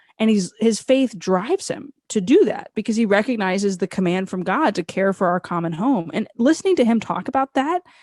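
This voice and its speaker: With a normal speaking voice and an American accent, a woman talks at a fairly quick pace with hardly any pauses, using lively intonation at a fairly high pitch, in a dry, close sound with no echo. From United States. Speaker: author, speaker and radio host. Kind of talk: interview conversation.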